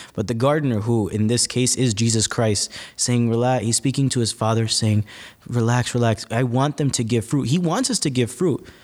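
A man with an American accent and an ordinary speaking voice, medium pitch, ordinary pitch variation, very even loudness and moderate pace, on a very clean recording with a silent background. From North Jersey, West New York. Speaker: seminarian. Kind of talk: casual interview. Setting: recording on the road at a seminary.

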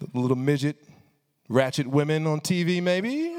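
With an American accent, a man talks at a moderate pace. His tone is animated, with very wide pitch swings. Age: 30s. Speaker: preacher and rapper. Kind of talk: sermon. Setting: hall with student audience.

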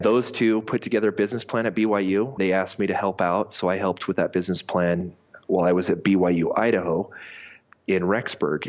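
An unremarkable speaking voice with fairly even intonation moves along at a moderate pace. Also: man. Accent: American. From US Mountain West (Colorado and Montana). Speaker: company founder and CEO. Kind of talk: interview.

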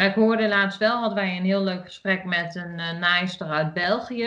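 The speaker has an Achterhoek accent and ordinary pitch variation. The pace is moderate. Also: woman, quiet background. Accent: regional Achterhoek accent, remarked on. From Achterhoek, eastern Netherlands. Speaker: podcast co-host, sewing hobbyist. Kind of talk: casual chat.

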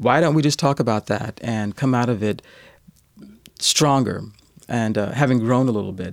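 This man speaks with an American accent at a fairly quick pace. His pitch is medium, with ordinary pitch variation. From US South, rural Kentucky. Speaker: journalist. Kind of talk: interview. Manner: hesitant, many fillers.

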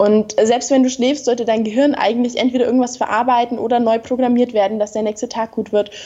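Against noticeable background noise, a woman speaks at a very fast pace with hardly any pauses, in a high voice with monotone, flat intonation. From Bavaria, southern Germany. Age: 20s. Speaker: model and entrepreneur. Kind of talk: interview.

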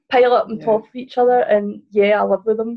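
The woman talks at a very fast pace, somewhat breathy and with monotone, flat intonation. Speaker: researcher and author. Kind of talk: casual interview chat.

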